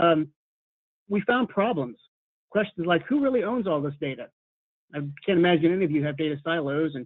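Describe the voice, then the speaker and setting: A man speaks at a fairly quick pace. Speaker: university data and analytics leader. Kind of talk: webinar presentation. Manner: fast; hesitant, with fillers and repetitions.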